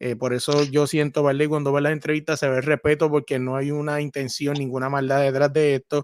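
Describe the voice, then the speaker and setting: In a very clean recording with a silent background, a man talks at a fairly quick pace with a fairly high pitch and monotone, flat intonation, the sound dry and close with no echo. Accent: Puerto Rican. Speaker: sports podcaster. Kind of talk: casual interview. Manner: repetitive, stammering.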